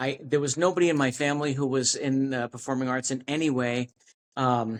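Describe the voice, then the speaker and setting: Speaking fairly quickly with an American accent, a man keeps his medium pitch at a fairly even intonation. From New York City. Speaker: actor. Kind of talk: interview. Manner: halting, many false starts.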